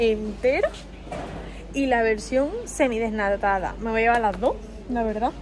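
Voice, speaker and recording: A woman's voice with ordinary pitch variation at a moderate pace, over light background noise. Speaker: food vlogger. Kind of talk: casual vlog chat. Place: shop. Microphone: phone near.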